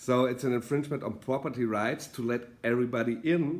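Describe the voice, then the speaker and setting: At a moderate pace, a man with a German accent speaks at a medium pitch with ordinary pitch variation. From Germany. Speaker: political author and commentator. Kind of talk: video monologue. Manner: halting, many fillers.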